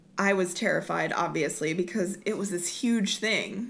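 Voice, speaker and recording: With an American accent, a woman talks at a moderate pace in an unremarkable speaking voice with ordinary pitch variation. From Oklahoma, Lawton. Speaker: Broadway performer. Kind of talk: casual interview.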